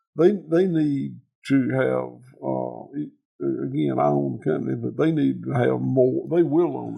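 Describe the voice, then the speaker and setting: A man with a Southern US accent at a moderate pace, his loudness swinging widely. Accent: Southern US (Georgia). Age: 60s. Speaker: farmer. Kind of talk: casual chat. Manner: halting, repeats words.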